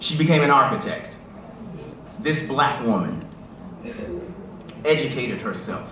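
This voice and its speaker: A man with a fairly high pitch and lively intonation at a fairly slow pace, with long, frequent pauses and noticeable background noise. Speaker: spoken word poet. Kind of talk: talk to a live audience. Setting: live event at a church.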